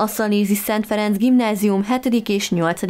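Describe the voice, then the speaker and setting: A woman speaks at a fairly slow pace in a normal speaking voice, her intonation fairly even. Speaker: local TV news reader. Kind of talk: news reading.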